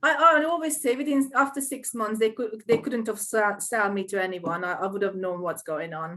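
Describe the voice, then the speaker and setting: Speaking at a moderate pace with hardly any pauses, a woman with a Hungarian accent uses a fairly high pitch that swings very widely. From Hungary. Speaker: small business owner. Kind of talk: interview. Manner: halting.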